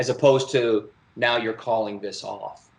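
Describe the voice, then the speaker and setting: A moderate pace and fairly even intonation. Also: man. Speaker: songwriter. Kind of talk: song critique conversation. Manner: halting, self-correcting.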